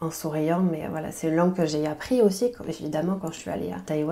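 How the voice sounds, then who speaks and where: Here is a woman's voice. Her pitch sits fairly low. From French Basque Country. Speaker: French language teacher and podcaster. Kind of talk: podcast interview. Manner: hesitant, many fillers.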